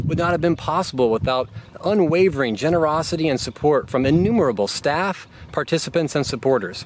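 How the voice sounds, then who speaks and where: Noticeable background noise sits under a dry sound with no echo. A man talks at a fairly quick pace. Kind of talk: scripted welcome address. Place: garden.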